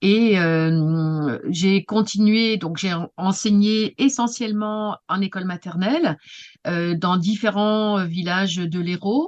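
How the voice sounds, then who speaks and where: This woman's voice sits at a medium pitch. She speaks at a very slow pace. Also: ordinary pitch variation. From Paris region, France. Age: 60s. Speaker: retired teacher and writing workshop leader. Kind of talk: interview. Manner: halting, many hesitations.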